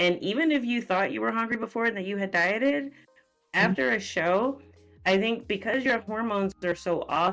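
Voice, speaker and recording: Music plays in the background as a woman speaks at a moderate pace. Her pitch is medium and her intonation lively. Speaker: nutrition and fitness coach. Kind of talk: podcast interview host. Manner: casual, conversational.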